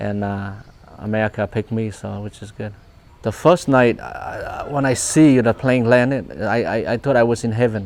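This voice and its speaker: A man with a Vietnamese accent speaks over noticeable background noise. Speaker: refugee immigrant interviewee. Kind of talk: personal testimony interview. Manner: halting with many repetitions.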